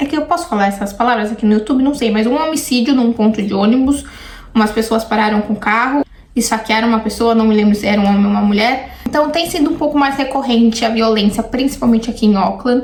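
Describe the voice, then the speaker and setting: Very fast delivery with ordinary pitch variation and very even loudness, over noticeable background noise. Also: woman, fairly high pitch for a woman. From Brazil, São Paulo. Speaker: YouTuber. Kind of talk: casual reaction vlog.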